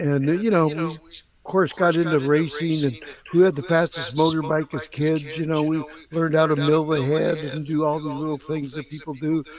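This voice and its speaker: Noticeable background noise sits behind a man's voice. His pitch is fairly high and his intonation monotone and flat. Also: moderate pace. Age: 80s+. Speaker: retired drag racer and nitrous business founder. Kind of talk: casual chat.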